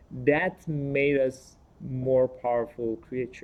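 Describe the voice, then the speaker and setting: Fairly slow delivery in a non-native accent, with fairly even intonation. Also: man. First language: not English. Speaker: panelist. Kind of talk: panel discussion. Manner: halting, with repetitions.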